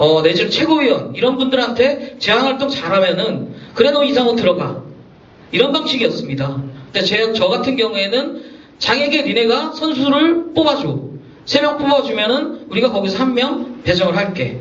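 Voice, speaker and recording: Noticeable background noise and audible room echo surround a man with an extremely high pitch. He talks at a moderate pace with lively intonation. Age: 40s. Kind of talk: forum speech.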